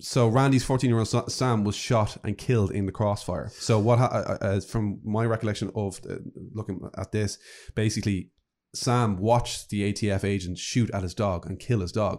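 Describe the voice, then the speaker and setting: Very clean recording, silent background. A man with a normal speaking voice talks at moderate pace, fairly low in pitch, with fairly even intonation. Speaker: podcast co-host guest. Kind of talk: storytelling, casual chat. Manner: clear, narrating, relaxed.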